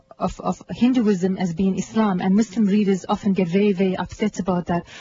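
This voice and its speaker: At a moderate pace, a woman speaks in a medium pitch with fairly even intonation over noticeable background noise. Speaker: journalist. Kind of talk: radio interview. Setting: studio.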